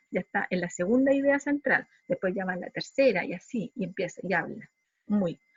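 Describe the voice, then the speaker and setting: Somewhat breathy, this woman's medium-pitched voice shows ordinary pitch variation. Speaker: psychology lecturer. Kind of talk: lecture. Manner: fast.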